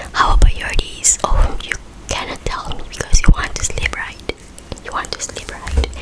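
A woman is whispering. Her pace is moderate. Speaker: ASMR creator. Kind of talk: soft bedtime story reading. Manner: soft, close-mic ASMR murmur. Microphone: studio mic.

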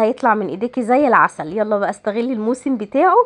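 A woman in an Egyptian accent, fairly high in pitch, with lively intonation and a fairly quick pace, against a quiet background. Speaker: home lifestyle vlogger. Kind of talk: vlog voice-over. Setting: at home.

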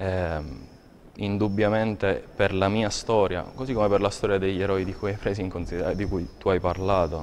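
Fairly quick, fairly low-pitched speech from a man, with fairly even intonation and light background noise. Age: 30s. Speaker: poet. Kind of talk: interview. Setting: TV studio. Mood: reflective, calm. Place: studio. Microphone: lapel.

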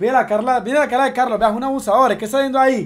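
Someone shouts loudly in a theatrical, furious tone. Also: man. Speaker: streamer. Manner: loud, indignant and furious, shouting with repeated insults and rhetorical questions; excitable, exaggerated, theatrical outbursts with hammered repetition. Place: home room. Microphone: headset.

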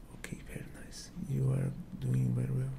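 Over noticeable background noise, a soft-spoken man with a very deep, low pitch and a gentle tone talks at a moderate pace in a monotone, flat intonation. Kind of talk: role-play medical exam talk. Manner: soft, gentle ASMR praise.

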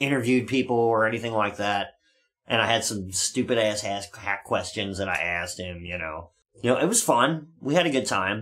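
A man speaks at a moderate pace. His pitch rises and falls in an ordinary way. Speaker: show host. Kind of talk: casual storytelling chat. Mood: relaxed, joking. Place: studio.

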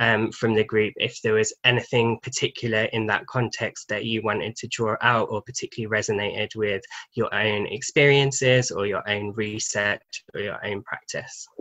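A man with a British accent speaks at a moderate pace in a medium pitch with a bright, sharp tone. His intonation is monotone and flat, and the background is quiet. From England. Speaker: charity programme manager and podcast host. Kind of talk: panel discussion. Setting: video call. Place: home room. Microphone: video call.

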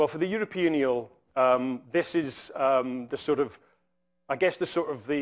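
Against a quiet background, a man with a Scottish accent speaks at a fairly high pitch and a moderate pace, with ordinary pitch variation. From Scotland. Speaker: conservation scientist; invited lecturer. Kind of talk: lecture. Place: hall.

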